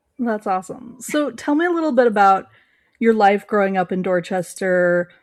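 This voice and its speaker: A woman speaks in a normal speaking voice at a moderate pace. Her intonation is lively. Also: medium pitch for a woman. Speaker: podcast host. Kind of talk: podcast interview.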